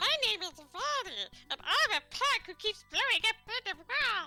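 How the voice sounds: An extremely high-pitched, put-on character voice that leaps through very wide pitch swings. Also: moderate pace.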